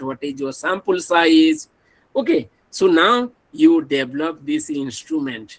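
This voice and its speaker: A man speaks at a fairly slow pace in an Odisha accent. His voice is fairly high, with ordinary pitch variation. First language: Odia. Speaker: professor. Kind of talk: lecture.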